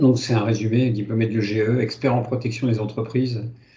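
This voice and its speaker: Through audible room echo, a man of medium pitch talks at a fairly quick pace with monotone, flat intonation, vocal fry and a dark, mellow tone. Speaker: lecturer and consultant. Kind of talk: lecture. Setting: webinar. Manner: fast; halting, many fillers.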